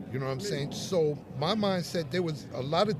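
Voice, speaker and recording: A man with a New York accent at a moderate pace, with noticeable background noise and audible room echo. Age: 60s. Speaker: hip-hop artist. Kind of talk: interview. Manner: halting.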